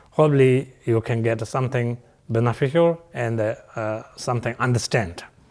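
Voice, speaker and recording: A man's medium-pitched voice with ordinary pitch variation at a moderate pace. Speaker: Buddhist teacher. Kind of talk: dharma teaching. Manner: halting with many fillers.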